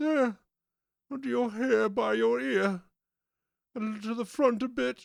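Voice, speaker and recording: A man's put-on character voice, high in pitch, at a moderate pace with long, frequent pauses. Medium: read story. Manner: anxious.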